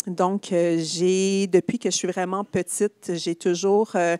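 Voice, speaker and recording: With a Quebec accent, a woman talks at a fairly slow pace and medium pitch, the sound dry and close with no echo. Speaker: social entrepreneur, company CEO. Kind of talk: conference talk, onstage conversation. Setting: stage with live audience and online stream.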